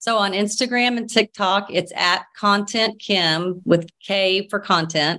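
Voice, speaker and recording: With an American accent, a woman speaks very slowly yet with hardly any pauses, her medium-pitched voice bright and sharp in tone, her intonation fairly even, against a quiet background. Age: 50s. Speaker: social media personality. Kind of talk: casual chat.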